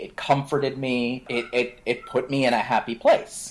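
An ordinary speaking voice at a fairly slow pace, with an American accent and ordinary pitch variation. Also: man. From Florida (Orlando). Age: 20s. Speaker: podcast co-host. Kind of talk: casual chat.

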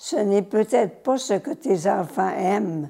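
A woman speaks with very wide pitch swings. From Quebec, Saguenay (La Terrière near Chicoutimi). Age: 80s+. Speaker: nun, former teacher and missionary. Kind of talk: testimony.

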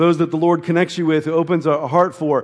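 An ordinary speaking voice from a man, fairly high-pitched and at a fairly quick pace. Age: 40s. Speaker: pastor. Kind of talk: sermon. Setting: church.

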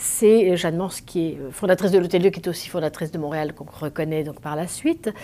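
Over noticeable background noise, a woman talks at a fairly quick pace with hardly any pauses. Her fairly low voice shows ordinary pitch variation. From France, Langres (Champagne). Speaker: documentary filmmaker. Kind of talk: interview. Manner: halting, many hesitations.

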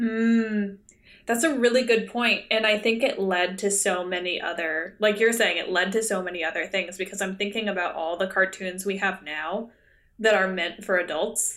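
Here is a woman with a normal speaking voice at a medium pitch. She keeps a moderate pace and fairly even intonation. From Canada. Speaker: podcast co-host. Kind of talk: casual chat. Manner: laughs often.

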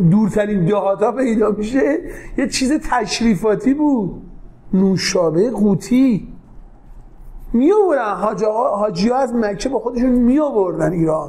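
A man speaks at a fairly slow pace in a high voice, with lively intonation, very even loudness and long, frequent pauses. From Tehran, Iran (south Tehran). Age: 40s. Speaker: entrepreneur, company CEO. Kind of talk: interview. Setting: office.

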